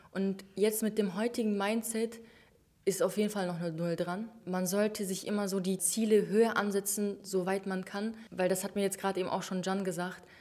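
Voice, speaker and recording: A woman talks at a moderate pace. Her medium-pitched voice has a monotone, flat intonation. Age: 20s. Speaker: online shop owner. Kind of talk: interview.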